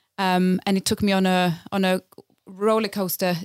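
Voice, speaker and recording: With a Swedish accent, a woman speaks at a medium pitch and moderate pace in a very clean recording with a silent background. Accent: Swedish-tinged English. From Sweden, Lapland. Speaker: community theatre director. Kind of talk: casual chat.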